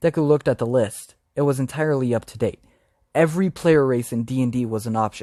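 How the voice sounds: A natural reading voice with ordinary pitch variation in a quiet background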